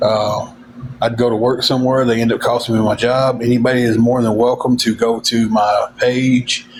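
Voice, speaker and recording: Over background music, a man with an American accent speaks at a moderate pace in a medium pitch and a monotone, flat intonation. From Tennessee. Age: 40s. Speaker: livestreamer. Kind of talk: casual chat.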